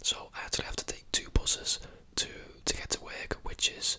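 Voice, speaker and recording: Whispering at a fairly quick pace over noticeable background noise. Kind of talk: ASMR whisper ramble, casual talk to camera. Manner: whispered, soft, chatty.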